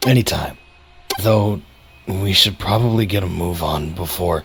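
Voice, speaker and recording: In a put-on character voice, a man talks at a moderate pace, his tone raspy and his pitch very deep and low. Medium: cartoon.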